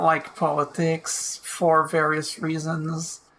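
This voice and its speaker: A woman with a non-native accent speaks at a very slow pace in a fairly low pitch. Noticeable background noise sits behind her. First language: not English. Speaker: video game let's player. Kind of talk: let's play commentary, reading game text aloud. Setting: home recording of gameplay. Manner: halting, stumbles over words. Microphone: low quality re-downloaded audio.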